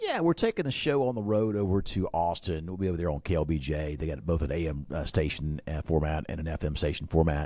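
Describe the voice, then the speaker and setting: With an Alabama accent, a man talks very fast at a very deep, low pitch with hardly any pauses. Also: ordinary pitch variation. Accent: Alabama Southern twang. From Alabama (Birmingham). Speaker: financial advisor, radio host. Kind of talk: radio talk show chat. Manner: repetitive, many fillers and restarts.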